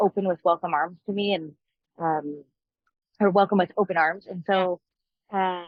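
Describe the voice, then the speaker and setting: A woman with a Montreal accent speaks in a monotone, flat intonation. She takes long, frequent pauses. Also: medium pitch for a woman, moderate pace. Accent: Canadian English, Montreal. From Canada, Montreal (Anglophone area), Quebec. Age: 30s. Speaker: country singer-songwriter. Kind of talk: interview.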